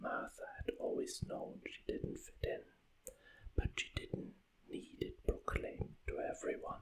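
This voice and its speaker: Talking at a fairly slow pace with long, frequent pauses, a man speaks at an extremely high pitch. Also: lively intonation. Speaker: author reading own book. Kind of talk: ASMR audiobook reading. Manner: whispered, soft.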